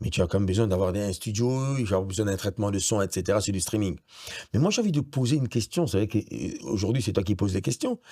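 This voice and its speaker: A man talks very fast in a fairly low, dark, mellow voice that is somewhat breathy. His pitch variation is ordinary. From Gabon. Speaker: radio director and presenter, voice-over actor. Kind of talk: interview answer.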